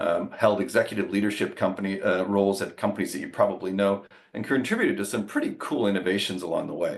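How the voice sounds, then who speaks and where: Talking at a very fast pace, a man speaks with a Canadian accent. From Canada, Ottawa. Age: 60s. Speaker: business executive. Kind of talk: interview.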